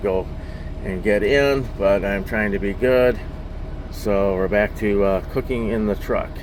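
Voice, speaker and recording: Audible room echo and noticeable background noise surround this recording. A man speaks with fairly even intonation. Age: 50s. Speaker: truck driver and poker vlogger. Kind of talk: casual vlog monologue. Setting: in a truck cab. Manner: casual with many fillers (uh, um).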